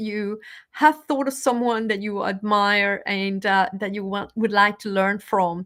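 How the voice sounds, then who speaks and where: With a Spanish accent, a woman is talking. The background is silent and the recording very clean. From Venezuela. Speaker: motivational speaker. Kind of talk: live stream talk. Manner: halting.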